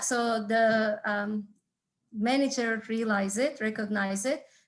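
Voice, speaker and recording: The speaker is a woman with a Turkish accent. Her pitch is fairly high, with ordinary variation. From Turkey. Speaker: entrepreneurship instructor and business consultant. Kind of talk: talk to an audience. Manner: halting, with frequent fillers.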